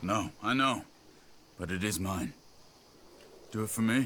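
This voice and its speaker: Using a put-on character voice, a man talks at a moderate pace with a fairly low pitch and ordinary pitch variation. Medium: video game. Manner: calm, steady.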